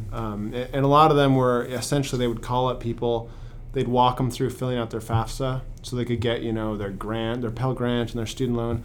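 There is audible room echo as a man with a medium pitch talks at a fairly quick pace in a monotone, flat intonation. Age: 30s. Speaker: podcast host. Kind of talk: podcast intro monologue; interview conversation. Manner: hesitant with many fillers.

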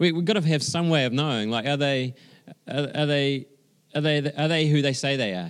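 Talking at a fairly quick pace with a New Zealand accent, a man uses a fairly high pitch and ordinary pitch variation. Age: 40s. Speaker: pastor. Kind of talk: sermon. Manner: halting.

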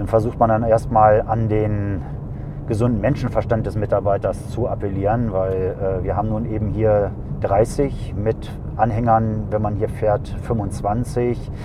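A man's fairly low voice at a fairly slow pace, monotone and flat in intonation, with audible room echo and noticeable background noise. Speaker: airport traffic duty officer. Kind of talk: casual interview. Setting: in a car on the apron.

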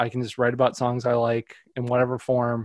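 Speaking at a fairly quick pace, a man with an American accent uses a normal speaking voice at medium pitch. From US Midwest, northwest Indiana. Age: 30s. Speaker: music writer. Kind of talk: casual interview chat. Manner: filler-heavy, conversational.

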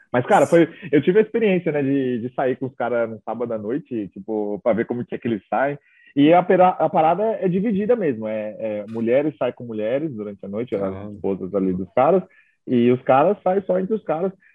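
A man with a medium pitch talks at a fairly quick pace, his voice making very wide pitch swings. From São Paulo state, Brazil (Itaquaquecetuba). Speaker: travel content creator. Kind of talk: casual interview chat.

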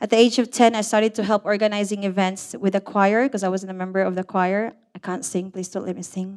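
Talking at a very fast pace with hardly any pauses, a woman sounds nervous. Her medium-pitched voice keeps a fairly even intonation. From Philippines (Negros Occidental). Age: 50s. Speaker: storyteller. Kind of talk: live storytelling. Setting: stage with audience.

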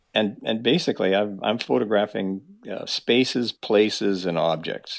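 With a Canadian accent, a man uses lively intonation and vocal fry, his pitch fairly low, at a moderate pace. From Manitoba, Canada. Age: 60s. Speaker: fine art photographer and fly fisher. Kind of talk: casual interview. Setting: call.

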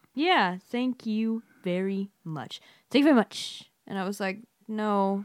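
Very slowly, a woman speaks at medium pitch with ordinary pitch variation. The recording is very clean, the background silent. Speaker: co-host, school English teacher. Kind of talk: casual chat.

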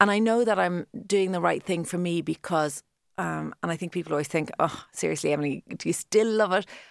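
A woman with a Cork accent speaks at a fairly quick pace and fairly low pitch with ordinary pitch variation, in a very clean, dry, close recording with no echo and a silent background. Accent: Irish, Cork. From Ireland, Cork. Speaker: fashion influencer. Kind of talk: interview.

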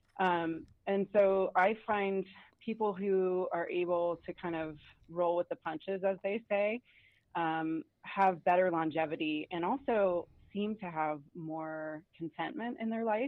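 A woman with an American accent talks at a very slow pace with ordinary pitch variation. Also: medium pitch for a woman. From US South, Atlanta. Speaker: doctor and podcaster. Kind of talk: casual interview chat.

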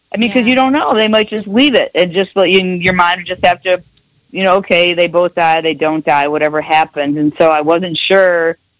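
A normal speaking voice at a fairly quick pace, with ordinary pitch variation and very even loudness, in a dry, close sound with no echo. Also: woman, fairly low pitch for a woman. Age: 50s. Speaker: lawyer. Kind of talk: casual chat.

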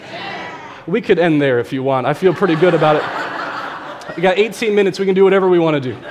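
Amid noticeable background noise and audible room echo, a man talks at a very fast pace in a high pitch. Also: ordinary pitch variation. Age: 20s. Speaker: worship leader. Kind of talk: sermon. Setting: church.

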